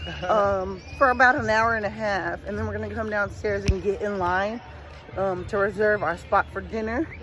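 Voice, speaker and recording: A woman talks at a fairly quick pace. The sound is dry with no echo, and there is noticeable background noise. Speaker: travel vlogger. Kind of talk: casual vlog chat. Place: street. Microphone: phone near.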